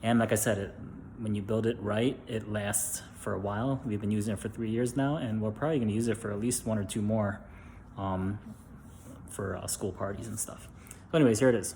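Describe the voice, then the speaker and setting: A man whispers quietly with an American accent. His fairly quick delivery is somewhat breathy. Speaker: DIY video maker, parent. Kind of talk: casual tutorial. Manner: whispering, quiet; hesitant, many fillers.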